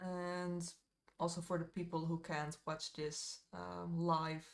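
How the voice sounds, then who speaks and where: A woman's very deep, low voice in a monotone, flat intonation. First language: Dutch. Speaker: miniature painter streamer. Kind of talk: live stream chat while painting. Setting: live stream. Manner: casual, hesitant with fillers.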